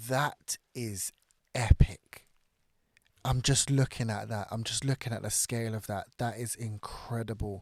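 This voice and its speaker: Dry and close with no echo, a man speaks with a British accent at a medium pitch and a fairly slow pace on a very clean recording with a silent background. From Britain. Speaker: reaction YouTuber. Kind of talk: casual reaction commentary. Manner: upbeat, excitable.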